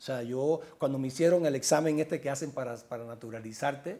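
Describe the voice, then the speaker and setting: Dark, mellow male voice at medium pitch, fairly quick in pace, with ordinary pitch variation. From Cuba. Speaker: journalist and author; journalist. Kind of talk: interview. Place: home room. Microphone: lapel.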